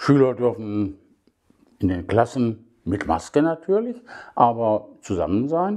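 A man's dark, mellow tone at a very slow pace, with lively intonation and long, frequent pauses over a quiet background. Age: 70s. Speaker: podcaster. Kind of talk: casual monologue. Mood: critical, somewhat sarcastic. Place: home room. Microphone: phone near.

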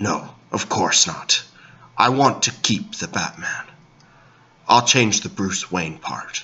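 A man speaks at a fairly slow pace in a medium-pitched voice, leaving long, frequent pauses. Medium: comedy sketch. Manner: gruff, deadpan, self-serious.

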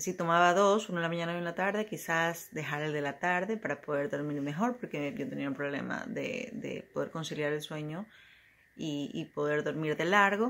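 At a moderate pace, a woman with a fairly low voice speaks with lively intonation. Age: 40s. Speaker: client giving a testimonial. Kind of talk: testimony. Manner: halting. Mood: calm, reflective. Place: home room. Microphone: phone near.

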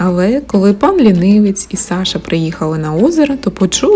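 Someone reads plainly aloud. The intonation rises and falls in a lively way.

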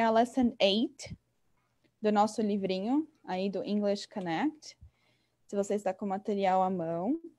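A woman speaks at a fairly slow pace, her pitch fairly high with ordinary variation. The background is quiet. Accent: São Paulo. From São Paulo, Brazil. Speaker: English teacher. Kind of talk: online lesson. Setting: video call. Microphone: webcam.

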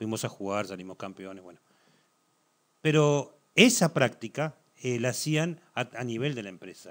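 In a Uruguayan accent with lively intonation, the speaker keeps a moderate pace broken by long, frequent pauses, loudness swinging widely against a quiet background. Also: man. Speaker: football commentator; talk show guest. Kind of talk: TV sports talk show. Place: studio.

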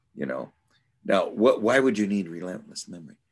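The background stays quiet. The voice belongs to a man. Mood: thoughtful, musing. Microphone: video call.

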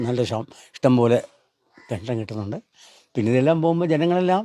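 A man speaks with lively intonation and a dark, mellow tone in a dry, close sound with no echo. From Kerala, Kollam district. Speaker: retired health department employee, charity donor. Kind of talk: interview.

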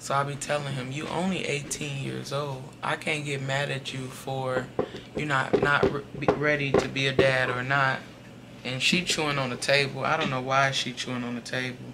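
Noticeable noise sits in the background. The delivery keeps a moderate pace. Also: woman. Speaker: tarot reader. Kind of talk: tarot reading monologue. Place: home room.

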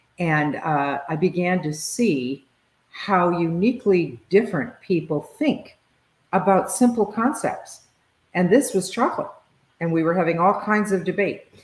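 A woman's somewhat breathy voice comes at a fairly slow pace with audible room echo. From US. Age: 70s. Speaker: leadership consultant and author. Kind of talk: interview conversation. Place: home room.

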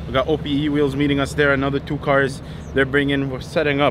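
The sound is dry with no echo, but noticeable background noise comes through. A man talks at a moderate pace. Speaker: car channel host. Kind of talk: casual vlog chat. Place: street. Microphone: phone near.

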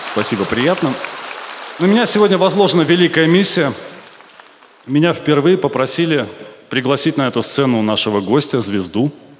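A man speaks at a moderate pace with very wide pitch swings and long, frequent pauses. Crowd noise fills the background. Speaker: stand-up comedian. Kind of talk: satirical stand-up monologue. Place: stage. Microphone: handheld.

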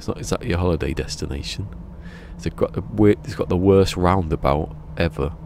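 In a Berkshire accent, the speaker moves at a fairly quick pace with very wide pitch swings. The sound is dry with no echo, over light background noise. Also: man. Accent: Berkshire accent, between Bristol and London. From southern England, Berkshire; southern England. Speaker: video game live streamer. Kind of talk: casual live stream chat. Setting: live stream. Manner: chill and relaxing. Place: home room. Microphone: studio mic.

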